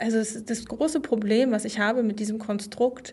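This woman's voice is fairly high-pitched and somewhat breathy. She talks in a flat monotone. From East Germany. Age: 40s. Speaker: journalist. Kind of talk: interview.

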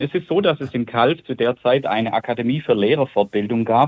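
An unremarkable speaking voice, fairly quick, with ordinary pitch variation. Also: man. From Germany, Calw area. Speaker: childhood pen pal. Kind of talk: interview.

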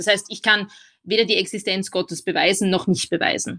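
The tone is bright and sharp, at a moderate pace. The background is quiet. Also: woman. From Austria. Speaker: philosopher and lecturer. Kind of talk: interview.

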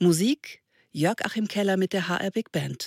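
Very slow, lively speech from a woman at medium pitch, on a very clean recording with a silent background and a dry, close sound with no echo. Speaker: announcer. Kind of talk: announcing credits.

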